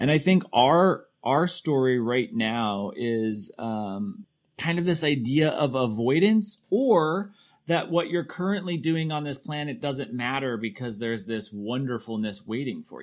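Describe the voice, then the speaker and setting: Over a silent background in a very clean recording, a man with an American accent speaks fairly slowly at a fairly high pitch, with very wide pitch swings and big swings in loudness. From Colorado, Castle Rock (Douglas County). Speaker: podcast host. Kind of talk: casual interview.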